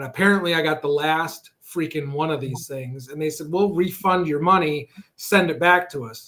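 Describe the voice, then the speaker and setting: With an American accent, the voice has a bright, sharp tone and ordinary pitch variation. It moves at a moderate pace with big swings in loudness. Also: man, fairly high pitch for a man. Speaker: guest cook on online cooking show. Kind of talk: casual chat.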